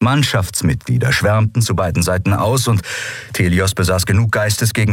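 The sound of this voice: Unforced reading voice throughout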